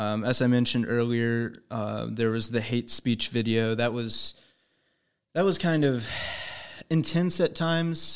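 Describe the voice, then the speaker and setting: An American man speaks in an unremarkable speaking voice at medium pitch and a fairly slow pace. His pitch variation is ordinary, and the recording is very clean with a silent background. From Indiana. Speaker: student news reporter. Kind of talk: casual interview. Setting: studio.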